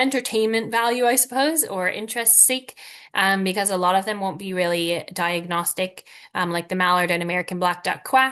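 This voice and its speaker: A woman's bright, sharp tone at a medium pitch, with ordinary pitch variation and a fairly quick pace. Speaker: wildlife educator. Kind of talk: webinar lecture. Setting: online webinar.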